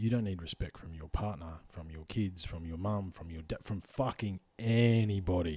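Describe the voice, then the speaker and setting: In an Australian accent, a man talks at a moderate pace with a very deep, low pitch, a dark, mellow tone, a somewhat breathy quality and ordinary pitch variation. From Australia, Central Victoria. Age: 30s. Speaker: podcast host. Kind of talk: casual chat. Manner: animated.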